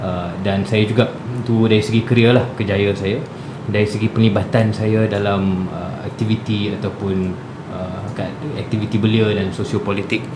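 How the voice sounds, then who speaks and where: There is audible room echo and noticeable background noise. A man speaks with a fairly low pitch and fairly even intonation. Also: moderate pace. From Malaysia, Kuala Lumpur / Shah Alam. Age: 20s. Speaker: youth parliament candidate, company executive. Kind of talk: radio interview. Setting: radio studio.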